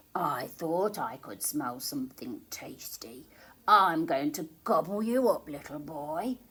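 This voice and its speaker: A woman's put-on character voice, fairly low in pitch, at a fairly slow pace. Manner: greedy, menacing.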